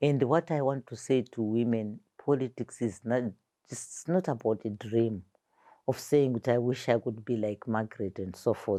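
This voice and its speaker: Here a woman speaks with a very deep, low pitch and a dark, mellow tone at a fairly slow pace, with ordinary pitch variation. The recording is very clean with a silent background and a dry, close sound with no echo. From Zimbabwe, Harare (Highfield). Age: 60s. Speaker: war veteran and former politician. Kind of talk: interview conversation.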